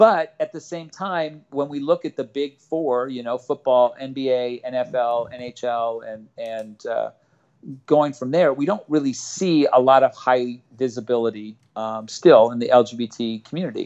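A man with an American accent speaks fairly slowly in a normal speaking voice at medium pitch, with ordinary pitch variation and big swings in loudness. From Los Angeles, San Fernando Valley. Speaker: softball coach. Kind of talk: interview.

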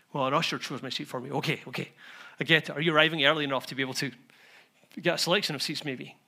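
A man's fairly high, bright, sharp voice at a very fast pace with fairly even intonation and long, frequent pauses. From Scotland. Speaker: pastor. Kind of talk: sermon. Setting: church.

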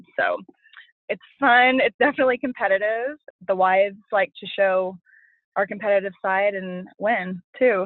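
A woman's normal speaking voice at medium pitch, with an American accent, a moderate pace and ordinary pitch variation. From Oklahoma City. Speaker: coach's wife. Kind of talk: interview.

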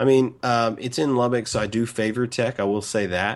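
A plain, everyday voice with fairly even intonation against a quiet background. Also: man. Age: 30s. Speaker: sports podcast co-host, recruiting analyst. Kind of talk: casual sports chat.

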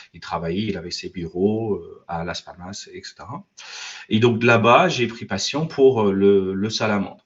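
At a fairly slow pace, a man with an unremarkable speaking voice talks in a fairly low pitch with ordinary pitch variation. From Ireland, also raised in US and France. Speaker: IT consultant and business owner. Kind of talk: interview.

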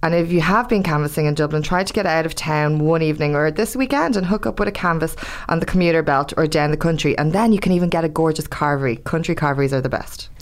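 In an Irish accent, the speech races along at a very fast pace with hardly any pauses, very even loudness and ordinary pitch variation. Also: woman, fairly low pitch for a woman. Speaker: podcast co-host, campaigner. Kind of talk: scripted podcast segments.

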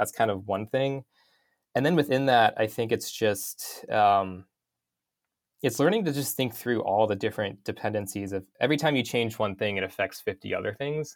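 An American man with an ordinary speaking voice talks at a moderate pace at medium pitch with ordinary pitch variation, on a very clean recording over a silent background. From North Idaho, US. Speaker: UX motion designer. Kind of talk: interview. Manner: casual, many fillers.

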